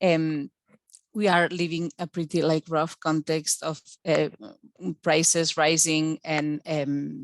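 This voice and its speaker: In a dry, close sound with no echo, a woman speaks at a very slow pace in a very deep, low pitch, with ordinary pitch variation and long, frequent pauses. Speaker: PhD researcher. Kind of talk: academic presentation. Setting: video call webinar. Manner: halting, many fillers and repetitions.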